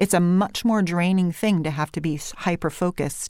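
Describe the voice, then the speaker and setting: In a very clean recording with a silent background, a woman with a California Valley accent speaks at a fairly low pitch. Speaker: voice coach.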